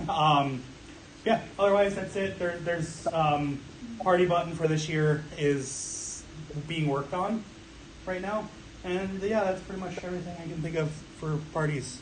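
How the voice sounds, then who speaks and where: Loud and high-pitched, a man speaks at a fairly slow pace with fairly even intonation and long, frequent pauses, amid audible room echo and noticeable background noise. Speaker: room parties coordinator. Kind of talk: staff meeting report. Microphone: no microphone.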